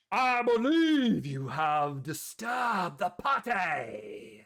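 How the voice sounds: A man speaks in a put-on character voice pitched high. He talks at a very slow pace.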